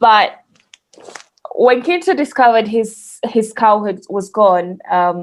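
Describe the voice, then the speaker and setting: Using fairly even intonation, a woman speaks with a Ugandan accent. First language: Luganda. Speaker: podcast guest. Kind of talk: casual storytelling chat.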